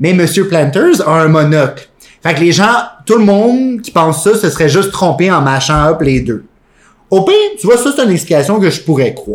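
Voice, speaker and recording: A man with a Quebec accent speaks at a high pitch and a moderate pace. His tone is animated and his intonation lively. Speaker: podcast co-host. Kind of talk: casual chat.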